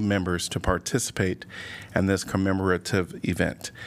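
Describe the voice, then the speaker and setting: The speaker goes at a moderate pace. It is a plain, everyday voice. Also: man. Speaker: mayor chairing city council. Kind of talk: formal public meeting proceedings. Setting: city council chamber.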